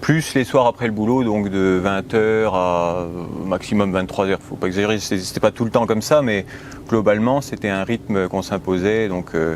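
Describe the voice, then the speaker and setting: A man's voice comes through with noticeable noise in the background. His pace is moderate, and his pitch moves in an ordinary way. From France, Haute-Marne. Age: 30s. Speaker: home renovator, medical student. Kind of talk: interview. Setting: at home.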